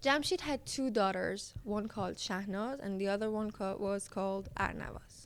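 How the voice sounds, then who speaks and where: A fairly high-pitched woman's voice with a Persian accent, lively intonation and a fairly slow pace. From Iran. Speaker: storyteller. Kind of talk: casual storytelling narration. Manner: hesitant, with fillers.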